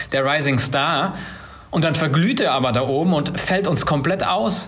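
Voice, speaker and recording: Noticeable background noise plus audible room echo. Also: man. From Germany, Siegen (South Westphalia). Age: 30s. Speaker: startup founder. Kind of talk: interview. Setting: video call.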